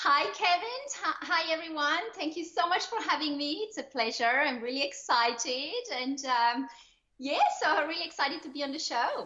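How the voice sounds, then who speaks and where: With a French-Swiss accent, a woman speaks in a high pitch at a moderate pace, her intonation lively, while noticeable background noise sits behind her. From Switzerland. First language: French or Swiss German. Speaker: online entrepreneur, lifestyle coach. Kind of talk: podcast interview. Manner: animated.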